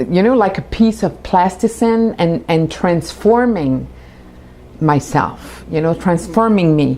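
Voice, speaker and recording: At a fairly slow pace, a woman with a French accent speaks in a fairly low pitch with a dark, mellow tone, lively intonation and very even loudness. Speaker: spiritual teacher. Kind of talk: announcement. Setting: home studio.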